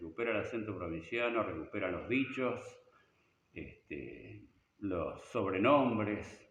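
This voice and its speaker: With vocal fry and a fairly low pitch, a man talks at a very slow pace with ordinary pitch variation amid audible room echo. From Argentina, Buenos Aires province (Hortensia, near Bolívar). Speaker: rock musician and teacher. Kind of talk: interview. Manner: halting, with repetitions.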